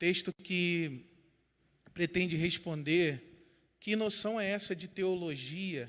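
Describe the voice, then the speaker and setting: Very slowly, a man with a Rio de Janeiro accent speaks at a high pitch with ordinary pitch variation. The recording is very clean, with a silent background. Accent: Rio de Janeiro (carioca), noticeable. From Brazil, São Gonçalo, Rio de Janeiro state. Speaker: pastor and theology teacher. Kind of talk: lecture.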